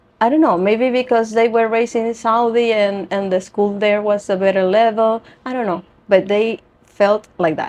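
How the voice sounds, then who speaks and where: Her intonation stays fairly even at a moderate pace. This woman's pitch is fairly high. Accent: Spanish. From Venezuela. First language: Spanish. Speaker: yoga teacher and beauty pageant titleholder. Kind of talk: interview. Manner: halting.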